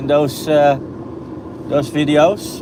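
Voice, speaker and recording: Someone with a Dutch accent speaks at a very slow pace over noticeable background noise. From Netherlands, Almere. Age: 30s. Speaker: driving vlogger, real estate photographer. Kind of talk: live stream commentary while driving. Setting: in a car. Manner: halting.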